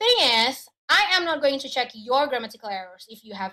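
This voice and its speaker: In an Indonesian accent, a woman with a bright, sharp tone speaks at a moderate pace. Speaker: education adviser. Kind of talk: webinar presentation. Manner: hesitant, with fillers.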